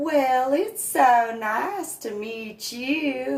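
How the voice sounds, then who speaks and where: The speaker puts on a character voice. It is pitched high. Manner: warm, insincere.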